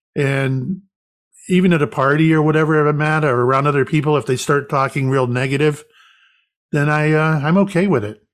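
In a very clean recording with a silent background, a man with an American accent speaks in an ordinary speaking voice. His pitch is fairly high, his pace fairly quick and his intonation fairly even. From US South. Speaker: psychic medium and retired police officer. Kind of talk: casual interview.

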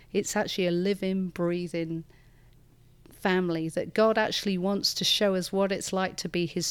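A woman speaks with a northern English accent at a moderate pace, her pitch medium and her intonation flat and monotone. The recording is very clean, with a silent background. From northern England. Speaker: church leader. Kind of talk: interview conversation. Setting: studio.

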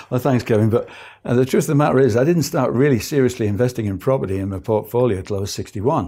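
At a very fast pace, a man with a medium pitch and a dark, mellow tone speaks with lively intonation on a very clean recording with a silent background. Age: 60s. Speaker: property investor. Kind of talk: interview. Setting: studio.

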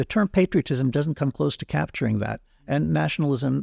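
A man's voice with vocal fry at a moderate pace, dry and close with no echo on a very clean recording with a silent background. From Israel. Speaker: philosopher and political theorist. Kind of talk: interview. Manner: halting, with many repeated words.

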